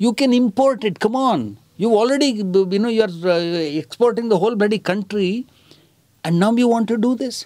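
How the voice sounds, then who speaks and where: There is a quiet background as a man with a high voice speaks at a moderate pace. His pitch varies in an ordinary way. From India. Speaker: theatre director and activist; interviewee. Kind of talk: interview answer. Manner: soft-spoken. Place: home room.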